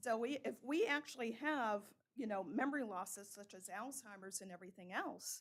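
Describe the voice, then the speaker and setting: In an ordinary speaking voice, a woman talks at a fairly quick pace with a fairly high pitch, lively intonation and big swings in loudness. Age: 60s. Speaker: member of the public making a comment. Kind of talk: public comment. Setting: town council meeting.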